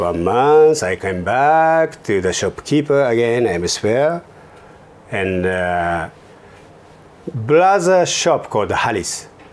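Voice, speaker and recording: With a non-native accent, a man speaks very slowly at a medium pitch, his pitch swinging very widely between long, frequent pauses. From Japan, Kobe area. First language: Japanese. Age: 50s. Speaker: fashion entrepreneur. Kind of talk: interview. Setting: office studio.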